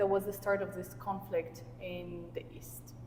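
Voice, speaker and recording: A woman speaks with a Russian accent. Her pace is moderate. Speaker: life coach and podcast host. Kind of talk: casual conversation. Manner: halting.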